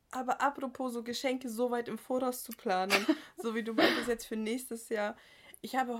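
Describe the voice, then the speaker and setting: A woman speaks in a high, animated voice. Her pace is moderate. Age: 20s. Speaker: podcast co-host. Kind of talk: casual chat. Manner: animated, laughing often.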